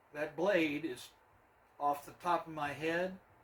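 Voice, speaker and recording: The intonation is monotone and flat. The pace is very slow. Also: man. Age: 70s. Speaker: woodworking hobbyist. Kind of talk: workshop tutorial. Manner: casual, conversational.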